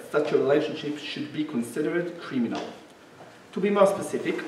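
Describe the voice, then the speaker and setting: A man speaking at a fairly quick pace, with audible room echo and light background noise. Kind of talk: lecture. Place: hall.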